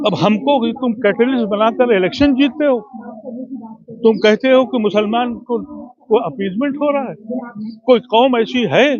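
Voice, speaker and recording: Noticeable background noise sits behind this recording. The man's voice is extremely high in pitch. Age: 70s. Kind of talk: interview. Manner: impassioned.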